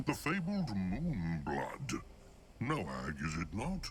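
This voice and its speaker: A man speaks very slowly in a put-on character voice pitched fairly low. Background noise is clearly audible. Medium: video game. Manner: broken, third-person speech; chuckling, bawdy.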